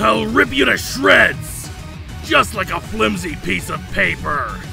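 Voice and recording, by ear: Over clear music in the background, a man puts on a character voice with a high pitch, big pitch swings, vocal fry and a slow pace.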